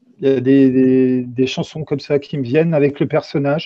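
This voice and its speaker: This man's intonation is fairly even. His pitch sits in the medium range. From eastern France. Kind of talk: interview. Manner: halting.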